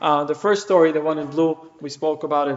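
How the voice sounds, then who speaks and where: The man's voice sits at a fairly high pitch with monotone, flat intonation. Background noise is noticeable. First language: Hebrew. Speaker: rabbi. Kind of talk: lecture.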